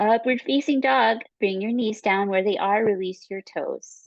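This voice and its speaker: A woman with a plain, everyday voice speaks at a fairly slow pace and a fairly high pitch, with ordinary pitch variation, in a dry, close sound with no echo over a quiet background. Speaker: yoga teacher. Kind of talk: guided yoga class instruction. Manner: calm, slow.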